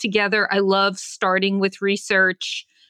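At a fairly slow pace, a woman with an American accent speaks at a medium pitch in an unremarkable speaking voice. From New York. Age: 60s. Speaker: design leader and author. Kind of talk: podcast interview.

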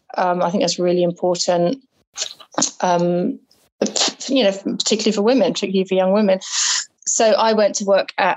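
With an English accent, a woman speaks at a fairly quick pace in a medium pitch with ordinary pitch variation. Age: 40s. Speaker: bookseller and artist. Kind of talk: interview.

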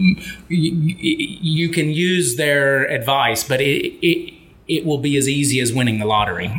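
A man with a fairly high pitch speaks in an American accent at a fairly slow pace. His loudness is very even, with noticeable background noise. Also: ordinary pitch variation. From Memphis, Tennessee, US South. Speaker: author and keynote speaker. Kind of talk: casual interview chat. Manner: animated, enthusiastic.

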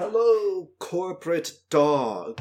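A man puts on a character voice. His pitch is high. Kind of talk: military bearing.

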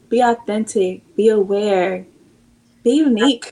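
Very slow speech from a woman with an American accent, her fairly high voice dark and mellow in tone, with ordinary pitch variation. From US Pacific Northwest (Seattle, Washington). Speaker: channel partner manager and nonprofit founder. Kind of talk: casual interview chat.

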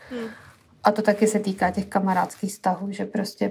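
Somewhat breathy and dark, mellow in tone, a woman speaks at medium pitch in a flat monotone. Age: 30s. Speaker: podcast co-host. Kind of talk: casual chat.

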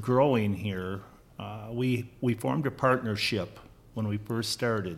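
A man with an American accent, medium pitch, ordinary pitch variation and a fairly slow pace. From US Midwest (Minnesota). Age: 60s. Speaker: farmer. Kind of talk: casual chat.

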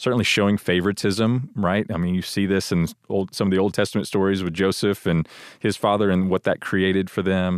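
An American-accented man speaks at a fairly quick pace in a very deep, low voice with fairly even intonation and very even loudness. The sound is dry and close with no echo, over a quiet background. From Texas, Houston. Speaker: church staff member and father. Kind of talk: casual chat.

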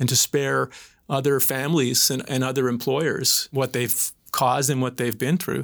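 At a fairly quick pace, a man speaks at a medium pitch with fairly even intonation and vocal fry. The recording is very clean, with a silent background. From Atlantic Canada (PEI and Newfoundland). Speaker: crown prosecutor. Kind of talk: panel discussion.

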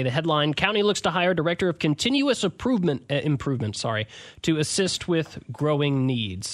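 A man's fairly high voice with lively intonation, at a fairly quick pace, over a quiet background. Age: 20s. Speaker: local news reporter, podcast host. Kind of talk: casual news discussion. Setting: radio station studio.

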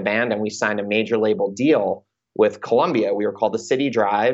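A man talks at a fairly quick pace and medium pitch with an American accent. He has an unremarkable speaking voice. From US Northeast, Long Island, New York. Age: 30s. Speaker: music manager and podcast host. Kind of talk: casual interview chat.

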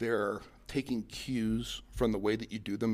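The man's voice sits at a medium pitch and carries vocal fry. The recording is very clean, with a silent background. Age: 40s. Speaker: company president, former Marine. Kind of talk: interview. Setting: conference center in new office building.

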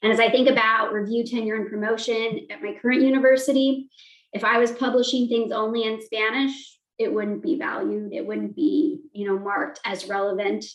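A woman with an American accent talks at a moderate pace in a fairly high pitch. It is an ordinary speaking voice. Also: ordinary pitch variation. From Montana, US. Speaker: communication professor. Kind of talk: interview.

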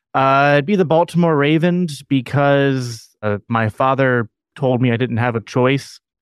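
Using an ordinary speaking voice, a man speaks at a fairly slow pace in a medium pitch with ordinary pitch variation. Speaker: podcast host. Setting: video call.

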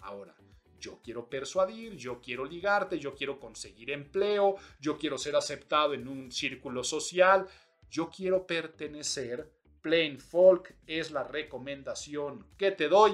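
Lively intonation and big swings in loudness mark this fairly slow delivery. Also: man, fairly high pitch for a man. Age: middle-aged. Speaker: podcast host and image consultancy school rector. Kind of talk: solo podcast commentary. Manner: animated.

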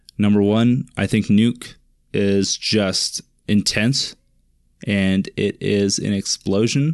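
Loudness stays very even at a very slow pace. The background is quiet. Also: man, fairly low pitch for a man, ordinary pitch variation, dry, close sound with no echo. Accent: Pacific Northwest. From eastern Washington State, US. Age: 20s. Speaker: podcast host, web developer. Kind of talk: solo monologue podcast. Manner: casual, rambling with frequent fillers.

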